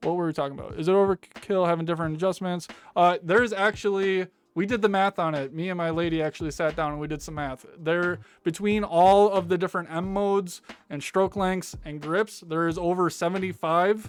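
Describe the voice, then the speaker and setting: Fairly quick and fairly even in intonation, a man talks in a high voice. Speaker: tattoo artist and channel host. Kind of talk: product review Q&A. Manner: fast; casual, filler-heavy.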